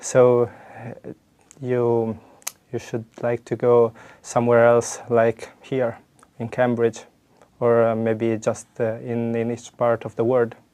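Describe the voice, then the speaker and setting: A man with a medium-pitched voice speaks very slowly. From Italy, La Spezia. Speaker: exam candidate. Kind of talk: oral exam interview. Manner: hesitant, many fillers.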